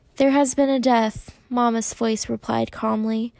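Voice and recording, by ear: The passage is read aloud in a natural voice.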